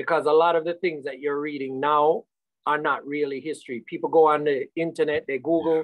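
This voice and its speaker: A fairly quick American accent over a quiet background. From United States. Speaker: magazine publisher, reggae historian. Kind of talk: radio panel discussion. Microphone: video call.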